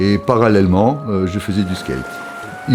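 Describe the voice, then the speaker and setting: A fairly low-pitched man talks at a moderate pace while music plays in the background. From France. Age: 70s. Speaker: veteran skateboarder. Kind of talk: documentary interview. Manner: halting, many repetitions and hesitations.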